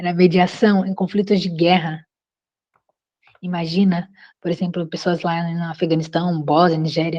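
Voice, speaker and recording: A woman talks at a fairly slow pace. Her fairly low voice has a dark, mellow tone. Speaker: course instructor. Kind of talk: online class.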